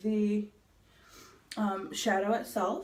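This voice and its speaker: A somewhat breathy woman at a very slow pace, with audible room echo. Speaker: beauty vlogger. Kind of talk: makeup tutorial. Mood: playful, relaxed. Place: bathroom. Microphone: phone near.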